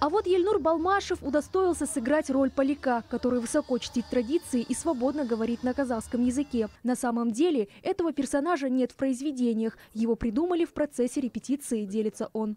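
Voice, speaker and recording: High-pitched and dark, mellow in tone, a woman talks at a fairly quick pace with lively intonation, hardly any pauses and very even loudness. The sound is dry and close with no echo. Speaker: culture news reporter. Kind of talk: news reading.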